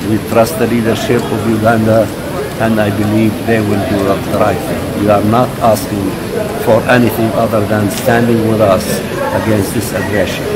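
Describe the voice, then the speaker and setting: A man speaks at a moderate pace. Loud noise runs behind him. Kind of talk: interview answer. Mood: earnest, serious. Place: hall. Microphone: handheld.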